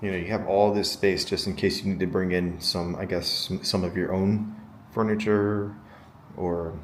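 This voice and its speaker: A quiet man's voice with very deep, low pitch, monotone, flat intonation, and a moderate pace. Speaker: hotel reviewer vlogger. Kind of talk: casual vlog room tour. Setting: hotel room. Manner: speaking quietly.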